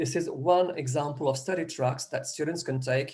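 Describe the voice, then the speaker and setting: Dark, mellow tone from a somewhat breathy man, his pitch varying in an ordinary way. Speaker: educator presenting a programme. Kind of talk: presentation in an online meeting. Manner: halting, many false starts.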